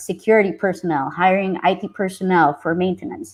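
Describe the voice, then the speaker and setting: Speaking at a moderate pace, a woman uses an ordinary speaking voice with medium pitch and fairly even intonation. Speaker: software engineer and tech community leader presenting. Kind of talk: technical presentation.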